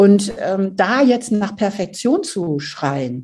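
The woman's tone is dark and mellow. There is a somewhat breathy quality to it. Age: 60s. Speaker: author and family counselor. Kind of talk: interview.

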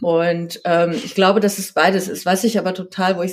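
Her intonation fairly even, a woman talks in a normal speaking voice. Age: 40s. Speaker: magazine editor and author. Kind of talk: casual interview.

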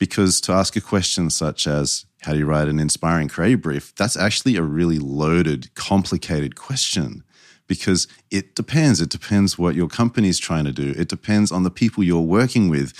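With an Australian accent and a very deep, low pitch, a man speaks fairly quickly with ordinary pitch variation, captured in a very clean recording with a silent background and a dry, close sound with no echo. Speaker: brand strategist. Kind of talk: interview. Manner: dry, a little sarcastic.

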